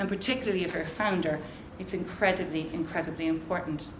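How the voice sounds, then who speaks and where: With an Irish accent, a woman speaks at a fairly quick pace amid noticeable background noise and audible room echo. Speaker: social entrepreneur and conference speaker. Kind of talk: motivational talk. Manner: loud; animated.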